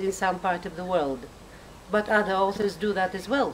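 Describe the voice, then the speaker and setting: With a non-native accent, a woman speaks at a medium pitch over noticeable background noise. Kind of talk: casual talk to camera.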